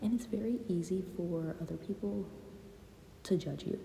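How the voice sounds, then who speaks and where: Noticeable noise runs beneath a woman who keeps a moderate pace. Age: 20s. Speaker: YouTuber. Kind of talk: casual chat. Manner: hesitant, pauses and stutters; unscripted, filler-heavy.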